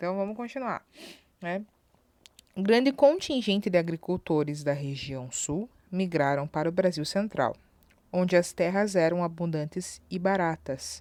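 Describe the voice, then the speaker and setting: A woman's fairly low voice with lively intonation, at a fairly slow pace with long, frequent pauses. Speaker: school teacher. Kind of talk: recorded online lesson.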